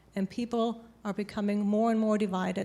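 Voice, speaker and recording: The speech comes at a fairly quick pace in a German accent, with monotone, flat intonation. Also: woman. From Germany. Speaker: panelist on immigration. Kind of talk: panel discussion.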